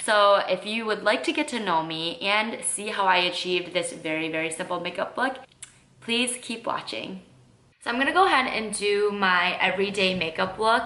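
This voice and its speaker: A woman with a strong Midwestern accent speaks at medium pitch and a moderate pace, her intonation lively. Noticeable background noise and audible room echo are present. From US Midwest, Michigan. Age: 20s. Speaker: lifestyle and makeup vlogger. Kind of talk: casual get-to-know-me vlog while doing makeup. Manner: casual, many fillers (um, like).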